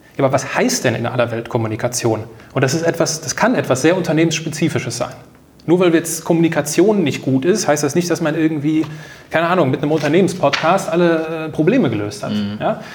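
A man with a fairly high voice rattles along at a very fast pace, his intonation lively. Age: 30s. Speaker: new work consultant, podcaster and author. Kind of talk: casual interview conversation.

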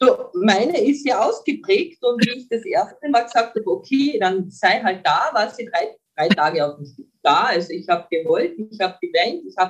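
The pitch swings very widely and the loudness shifts a great deal, with hardly any pauses in between. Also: woman, fairly high pitch for a woman, moderate pace. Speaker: mental trainer. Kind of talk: interview.

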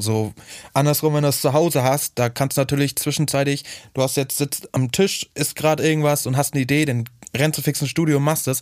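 An unremarkable speaking voice, this man's is fairly high in pitch, with fairly even intonation and a fairly quick pace. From Schwerin, northern Germany. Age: 20s. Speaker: music producer and DJ. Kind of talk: interview. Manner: casual, filler-heavy.

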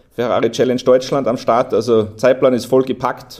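With a dark, mellow tone, a man talks at medium pitch. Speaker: motorsport series manager. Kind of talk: casual interview.

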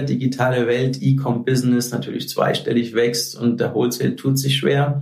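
A man of medium pitch speaks at a moderate pace. Music plays in the background, and room echo is audible. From Hesse, Germany (Frankfurt). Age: 40s. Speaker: sales manager in fashion. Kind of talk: casual interview.

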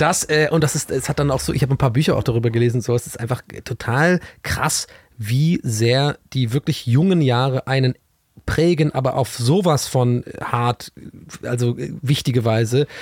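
The voice is somewhat breathy, moving at a moderate pace with ordinary pitch variation, in a dry, close sound with no echo. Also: man, medium pitch for a man. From southwestern Germany, Tübingen. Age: 30s. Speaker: TV presenter. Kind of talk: casual chat.

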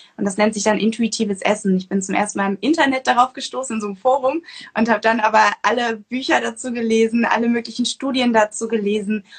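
Somewhat breathy, a woman talks very fast at a fairly high pitch with fairly even intonation. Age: 20s. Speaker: nutrition coach and author. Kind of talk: interview. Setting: Instagram livestream.

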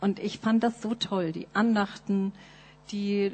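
Somewhat breathy, a woman speaks in a medium pitch with monotone, flat intonation. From Nuremberg, Germany. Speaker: missionary. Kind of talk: testimony. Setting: church.

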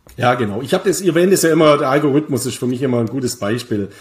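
A man with a fairly high pitch speaks in a somewhat breathy voice. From Bavaria, Germany. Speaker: crypto investment expert and author. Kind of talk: casual interview about crypto markets. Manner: frequent hesitations (äh).

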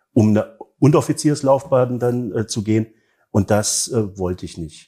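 A man with a dark, mellow tone sounds somewhat breathy at a moderate pace. The recording is very clean, with a silent background. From East Germany. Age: 40s. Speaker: book fair director. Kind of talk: interview. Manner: hesitant, many fillers.

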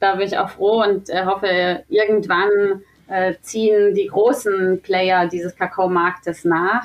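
With an ordinary speaking voice, a woman talks at a fairly slow pace and a medium pitch, her intonation fairly even. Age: 30s. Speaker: sales manager at a fair-trade chocolate company. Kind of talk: podcast interview.

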